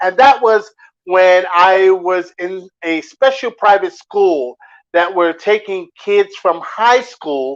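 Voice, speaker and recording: A man with an American accent talks at a high pitch. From New Jersey, US. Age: 50s. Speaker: DJ and music producer. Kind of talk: interview. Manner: hesitant, many fillers.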